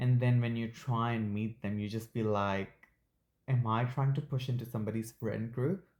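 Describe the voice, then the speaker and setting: A man with a non-native accent talks at a medium pitch with fairly even intonation. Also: moderate pace. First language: not English. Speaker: podcast co-host. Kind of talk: casual chat.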